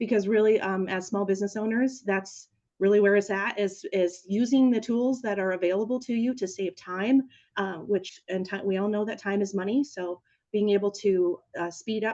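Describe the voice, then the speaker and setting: With fairly even intonation, the speaker has a dark, mellow tone. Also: woman. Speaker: small business coach and webinar presenter. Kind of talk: webinar tutorial. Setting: online webinar with screen sharing. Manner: fast.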